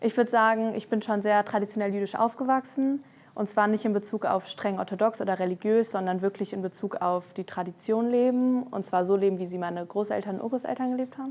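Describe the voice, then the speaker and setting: A woman's voice, a normal speaking voice, fairly high in pitch, with ordinary pitch variation. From Germany, Frankfurt. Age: 20s. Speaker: law student. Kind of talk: interview testimony. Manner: casual with fillers.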